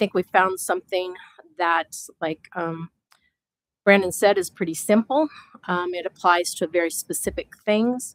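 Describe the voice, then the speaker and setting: At a moderate pace with long, frequent pauses, a woman in an Upper Midwest accent speaks at a medium pitch with ordinary variation, the sound dry and close with no echo. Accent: Upper Midwest American. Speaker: citizen committee member. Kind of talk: public meeting remarks. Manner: loud.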